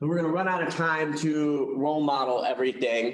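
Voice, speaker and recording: A man speaks at a fairly high pitch with fairly even intonation, and audible room echo is present. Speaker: real estate coach. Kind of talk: training class presentation. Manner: fast talker; loud.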